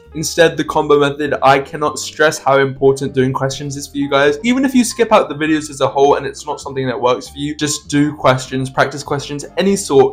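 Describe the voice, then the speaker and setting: A man with a fairly high pitch talks at a fairly quick pace with hardly any pauses, ordinary pitch variation and big swings in loudness, with music playing in the background. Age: young. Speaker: A-level student. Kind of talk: casual unscripted study-tips talk to camera.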